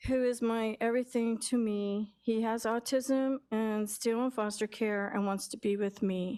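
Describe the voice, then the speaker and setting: Hardly pausing, a woman with a fairly high pitch and dark, mellow tone speaks at a fairly slow pace in a monotone, flat intonation. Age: 60s. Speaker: public commenter. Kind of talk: public comment. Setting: city council meeting.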